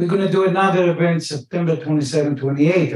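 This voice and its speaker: Somewhat breathy, the voice keeps a moderate pace with ordinary pitch variation. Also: man. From Israel. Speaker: economic development manager. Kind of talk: panel discussion. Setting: stage with audience.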